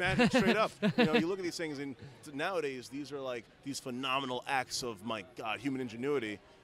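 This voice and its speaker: A man's fairly high voice with lively intonation at a fairly quick pace, over noticeable background noise. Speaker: renaissance fair performer. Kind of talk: interview answer.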